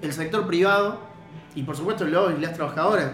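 A high-pitched man talking very fast, with ordinary pitch variation, audible room echo and music in the background. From Argentina, La Rioja. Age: 30s. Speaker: DJ and cultural organizer. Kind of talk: casual chat.

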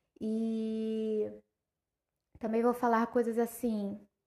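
A woman's fairly high voice with a dark, mellow tone over a quiet background. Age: 20s. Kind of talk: casual monologue.

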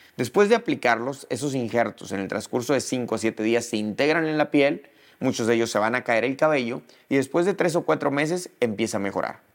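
A man's plain, everyday voice, medium in pitch, with ordinary pitch variation, at a fairly quick pace, on a very clean recording with a silent background. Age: 40s. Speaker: dermatologist. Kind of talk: educational monologue.

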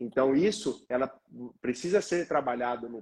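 A man speaks at a moderate pace in a normal speaking voice with ordinary pitch variation. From Paraná, Brazil. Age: 20s. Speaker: physiotherapist. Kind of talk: live-stream interview.

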